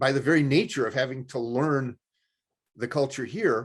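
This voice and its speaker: At a moderate pace, a man with a fairly high pitch speaks using ordinary pitch variation. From Chicago. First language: another language, son of immigrants. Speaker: TV show host. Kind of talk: interview.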